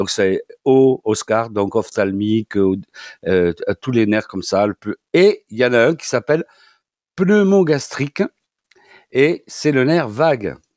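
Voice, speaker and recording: Speaking very slowly with a southern French accent, a man leaves long, frequent pauses and swings his pitch very widely, all in a very clean recording with a silent background. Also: medium pitch for a man, dry, close sound with no echo. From southwestern France. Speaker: doctor and osteopath. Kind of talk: radio advice segment. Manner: halting, many repetitions.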